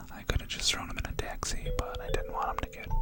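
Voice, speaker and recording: Whispering in an American accent over music in the background. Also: man. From New York. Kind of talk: ASMR whispered story time for sleep and relaxation. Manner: soft-spoken, whispering.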